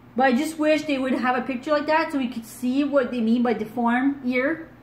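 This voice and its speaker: A woman's high-pitched voice at a fairly quick pace, fairly even in intonation, with audible room echo and noticeable background noise. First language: French. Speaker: true crime YouTuber. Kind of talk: casual commentary and reading case details. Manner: halting, stumbles over words.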